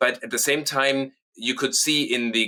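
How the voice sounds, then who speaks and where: A man speaks with a German accent. His tone is bright and sharp. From southern Germany (Munich). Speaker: company co-founder and managing director. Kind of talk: interview.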